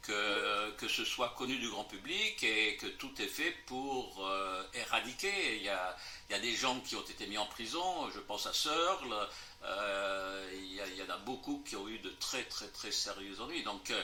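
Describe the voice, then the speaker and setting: Speaking fairly slowly, a man uses a fairly low pitch with ordinary pitch variation. Noticeable background noise and audible room echo are present. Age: 80s+. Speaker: lecturer and author on fringe theories. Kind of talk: interview Q&A after a lecture. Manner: hesitant with many fillers.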